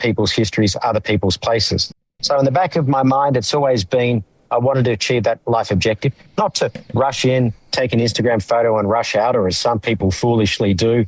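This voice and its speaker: At a very fast pace, a man with an Australian accent speaks at a medium pitch with ordinary pitch variation and very even loudness, the sound dry and close with no echo. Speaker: humanitarian lawyer and former aid official. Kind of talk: podcast interview. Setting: podcast.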